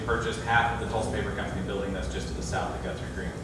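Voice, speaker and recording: A man in a room with audible echo, with loud background noise. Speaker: foundation program officer presenting a project. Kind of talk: public presentation with Q&A. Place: hall.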